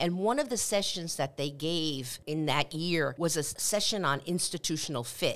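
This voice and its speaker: A woman with a Spanish accent and a very deep, low pitch, at a moderate pace, with ordinary pitch variation and very even loudness. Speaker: university president. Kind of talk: interview answers on a campus podcast.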